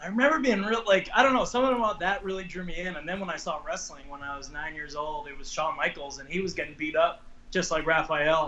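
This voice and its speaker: A man's high voice with an American accent, very fast and with hardly any pauses, lively intonation and noticeable background noise. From Long Island, New York. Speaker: professional wrestler. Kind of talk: interview. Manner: casual, hesitant.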